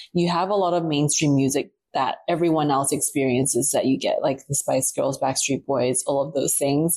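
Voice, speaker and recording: In a very clean recording with a silent background, a woman with a dark, mellow tone and very deep, low pitch speaks at a moderate pace with fairly even intonation. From Taiwan, New Zealand and Australia. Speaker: publicist. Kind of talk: casual chat. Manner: hesitant with fillers.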